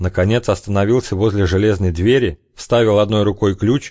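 The voice reads in a natural way. It stays like that from start to finish.

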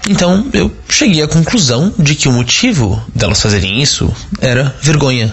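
A man talks at a fairly slow pace with lively intonation over noticeable background noise. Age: 30s. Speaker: listener sending audio testimony. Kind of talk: recorded testimony.

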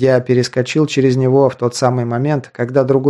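Reading done in a natural reading voice

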